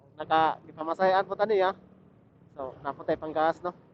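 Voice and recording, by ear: A man's fairly high pitch with ordinary pitch variation at a fairly quick pace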